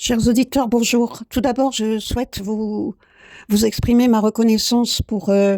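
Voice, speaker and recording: On a very clean recording with a silent background and a dry, close sound with no echo, a woman with a fairly high pitch and a dark, mellow tone speaks at a fairly slow pace in a flat monotone. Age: 60s. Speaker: painting coach and podcaster. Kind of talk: improvised podcast monologue. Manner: halting, many hesitations.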